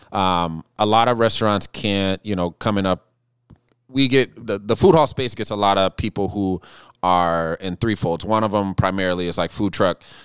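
Here is a man with an unremarkable speaking voice and an American accent. He talks at a moderate pace, fairly low in pitch, with ordinary pitch variation. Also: very clean recording, silent background. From US Pacific Northwest, Seattle. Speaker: chef and restaurant owner. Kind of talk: casual chat. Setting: fireside, drinking bourbon.

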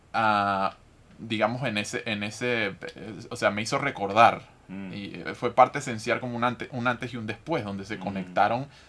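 In a normal speaking voice, a man moves along at a fairly quick pace. His pitch shifts in an ordinary way. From Venezuela. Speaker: podcast host. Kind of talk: interview.

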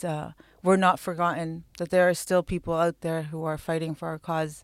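In a very clean, dry, close recording with no echo and a silent background, a woman with an Arabic accent speaks at a moderate pace in a fairly low voice with monotone, flat intonation. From Palestine, East Jerusalem. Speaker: artist and activist. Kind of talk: interview.

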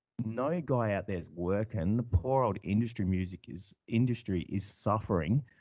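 Lively intonation with an Australian accent. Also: man. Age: 40s. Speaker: electronic musician and farmer. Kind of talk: casual interview chat.

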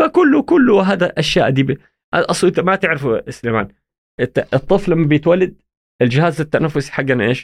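A man's high-pitched voice at a moderate pace, with a dry, close sound and no echo. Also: lively intonation. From Saudi Arabia (Jeddah, childhood in Egypt). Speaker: pediatric and sleep medicine consultant. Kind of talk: casual interview. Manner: halting, frequent restarts.

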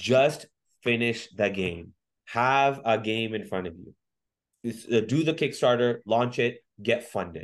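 A man with a Canadian accent speaks at a moderate pace and medium pitch against a quiet background. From Canada, Mississauga (Ontario). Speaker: DJ and entrepreneur. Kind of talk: interview conversation. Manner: hesitant, many fillers and repetitions.

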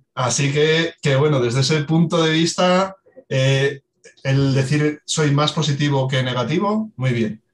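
At a fairly slow pace, a man with a fairly high pitch sounds somewhat breathy. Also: ordinary pitch variation. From Asturias, Spain. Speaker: water footprint specialist. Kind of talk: expert interview.

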